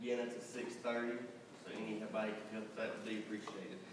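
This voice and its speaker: Strong room echo and noticeable background noise surround a man talking at a fairly quick pace. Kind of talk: announcements. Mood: friendly, upbeat. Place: church.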